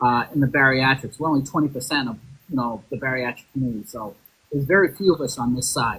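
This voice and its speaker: With a Boston accent, a man rattles along at a very fast pace at medium pitch. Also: ordinary pitch variation. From Boston, Massachusetts. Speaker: podcast host. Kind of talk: casual chat.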